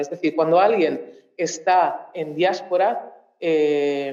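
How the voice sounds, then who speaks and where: Audible room echo fills the space. A woman talks fairly slowly. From Mozambique. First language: Portuguese (speaking Spanish). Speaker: researcher. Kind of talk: talk at a public cultural event. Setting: auditorium with audience. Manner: halting, many fillers and restarts.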